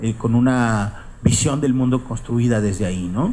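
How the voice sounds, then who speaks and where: A man talks with ordinary pitch variation. Light background noise can be heard. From northeastern Mexico, Coahuila. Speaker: writer; writer giving a lecture. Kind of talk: lecture. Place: hall. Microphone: podium.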